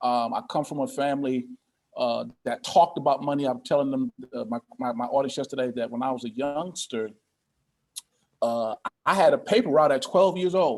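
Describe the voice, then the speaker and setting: This man has an unremarkable speaking voice and a fairly high pitch. He talks at a moderate pace with ordinary pitch variation. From Connecticut, US Northeast. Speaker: pastor and financial coach. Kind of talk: interview.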